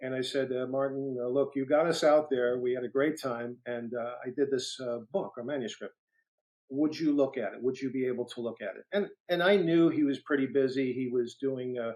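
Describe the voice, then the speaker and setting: A man with a New York accent and fairly even intonation. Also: medium pitch for a man, fairly quick pace. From New York City (Brooklyn). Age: 60s. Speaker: retired federal agent and author. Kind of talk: interview storytelling. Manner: halting with many fillers.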